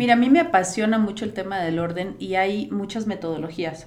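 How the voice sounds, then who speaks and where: A woman at a fairly quick pace amid audible room echo. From Costa Rica. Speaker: organization and productivity coach. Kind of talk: interview conversation.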